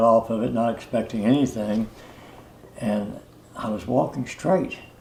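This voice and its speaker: A man's medium-pitched voice, monotone and flat, over noticeable background noise. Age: 80s+. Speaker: customer giving testimonial. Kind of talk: testimonial interview. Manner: halting, many fillers and repetitions.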